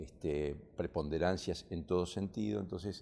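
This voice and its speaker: At a moderate pace, a man speaks with a very deep, low pitch and a dark, mellow tone. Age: 60s. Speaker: stained-glass restorer. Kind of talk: TV interview. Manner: halting.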